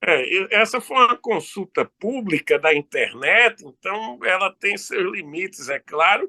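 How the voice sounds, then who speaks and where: The speech runs at a fairly slow pace with lively intonation and hardly any pauses. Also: man, high pitch for a man. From Brazil, Recife (Pernambuco). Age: 60s. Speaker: law professor. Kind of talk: interview.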